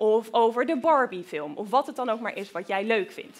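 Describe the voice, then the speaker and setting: A woman's animated tone at a moderate pace. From Groningen, northern Netherlands. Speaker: researcher. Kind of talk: lecture for children. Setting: lecture hall with audience. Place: hall. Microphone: headset.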